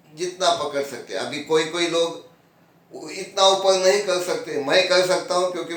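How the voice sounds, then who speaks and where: A man speaks at a high pitch. The room echo is audible, and background noise is noticeable. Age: 70s. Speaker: yoga teacher. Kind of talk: tutorial. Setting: at home, on his bed. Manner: casual, conversational.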